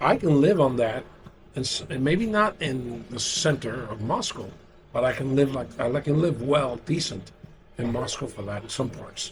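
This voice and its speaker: Over noticeable background noise, a man with a medium-pitched voice speaks at a moderate pace with lively intonation. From Cuba, raised in US (Miami, New York). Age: 60s. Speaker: traveler. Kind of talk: casual chat. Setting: restaurant.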